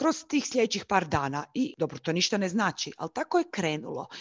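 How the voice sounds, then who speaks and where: Against a quiet background, a woman talks at a fairly quick pace in a dry, close sound with no echo. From Croatia, Zagreb. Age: 30s. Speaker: YouTuber sharing lived experience of bipolar disorder. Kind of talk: interview, personal testimony.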